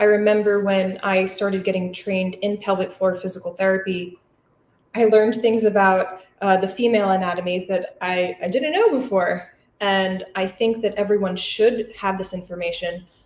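Monotone, flat intonation with audible room echo. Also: woman, moderate pace. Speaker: physical therapist. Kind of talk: lecture. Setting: live audience in person and online. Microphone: webcam.

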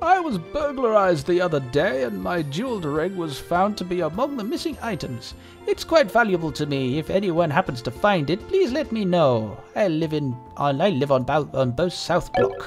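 Doing a put-on character voice, a man speaks at a moderate pace with a high pitch and very wide pitch swings while clear music plays in the background. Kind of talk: formal, quaint.

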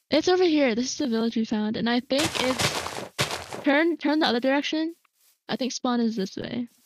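Over noticeable background noise, a high-pitched woman speaks at a moderate pace with ordinary pitch variation. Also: dry sound with no echo. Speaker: gamer on stream. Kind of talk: casual gaming chat. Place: home room.

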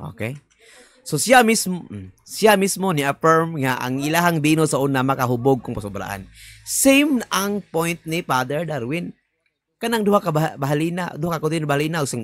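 Fairly high-pitched male speech in a Cebuano accent, moderate pace, very wide pitch swings and a dry sound with no echo. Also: quiet background. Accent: Cebuano-speaking Filipino. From Philippines, Visayas. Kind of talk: video commentary. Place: home room.

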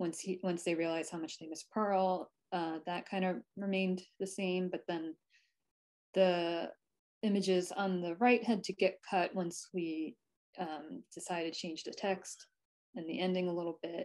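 With an American accent, a woman talks at a moderate pace over a quiet background. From New Jersey, US. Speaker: picture book illustrator. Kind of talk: presentation and drawing workshop. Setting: video call. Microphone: video call.

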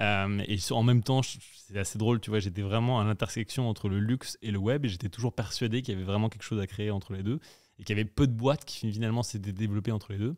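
Very fast and fairly low-pitched, a man speaks with fairly even intonation. The recording is very clean, with a silent background. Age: 30s. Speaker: entrepreneur. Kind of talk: casual chat.

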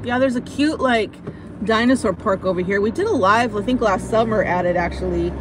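With an American accent, a woman speaks at a fairly quick pace in a fairly high pitch with ordinary pitch variation. The sound is dry with no echo, over noticeable background noise. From United States. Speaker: vlogger. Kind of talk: live stream chat while driving. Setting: in a car. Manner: animated. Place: car.

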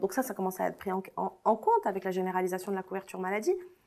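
Very wide pitch swings run through a woman's voice in a very clean recording with a silent background. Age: 30s. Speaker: lawyer and feminist activist. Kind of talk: interview.

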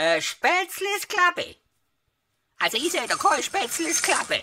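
A put-on character voice, female-sounding and extremely high, at a moderate pace. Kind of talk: comedy dialect sketch.

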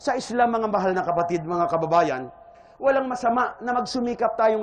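An extremely high-pitched male voice at a fairly quick pace, with ordinary pitch variation and noticeable background noise. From Philippines, Iloilo. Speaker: Islamic preacher. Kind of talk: religious lecture.

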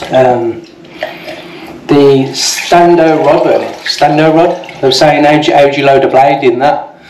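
Long, frequent pauses break up the speech, with light background noise and audible room echo. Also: man. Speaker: shaving video creator. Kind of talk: casual product review and demo. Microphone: phone near.

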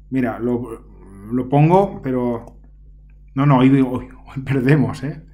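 At a very slow pace, a man of medium pitch leaves long, frequent pauses, keeping his intonation fairly even. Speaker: secondary school teacher. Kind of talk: casual solo gameplay commentary. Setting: home recording. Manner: chatty, hesitant with fillers.

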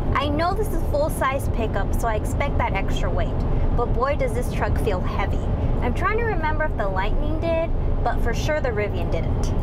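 A woman talks at a fairly quick pace. Music plays in the background. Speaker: car reviewer. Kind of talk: casual review commentary. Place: car. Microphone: lapel.

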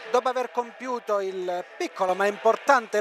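A man's high-pitched voice, dry with no echo, over light background noise. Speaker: radio sports commentator. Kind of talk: commentary. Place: stadium.

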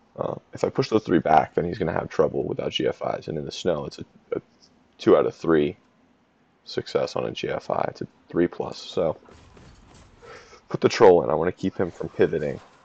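A man mumbles quietly at a fairly quick pace. Long, frequent pauses break up his speech, and the sound is dry with no echo. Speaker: game commentator. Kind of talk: gameplay analysis commentary. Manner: mumbling, quiet. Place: home room.

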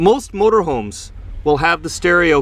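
The speaker is a man. His voice has a dry sound with no echo. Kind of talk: casual vlog tour. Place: car. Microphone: phone near.

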